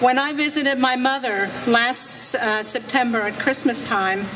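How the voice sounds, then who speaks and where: A high-pitched woman at a fairly slow pace, with audible room echo and noticeable background noise. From France, Alsace near German border. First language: French. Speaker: legal immigrant speaker at rally. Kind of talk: speech.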